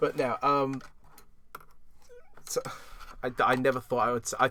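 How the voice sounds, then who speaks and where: With a British accent, a man speaks at a medium pitch and a moderate pace. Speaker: podcast host. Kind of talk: casual chat. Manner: animated.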